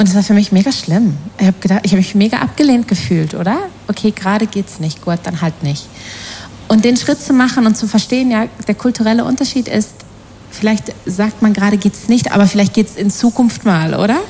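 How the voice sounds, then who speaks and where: A woman at a medium pitch talks at a fairly quick pace with ordinary pitch variation over noticeable background noise. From Germany, Ruhr area. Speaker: panel guest. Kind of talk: panel interview.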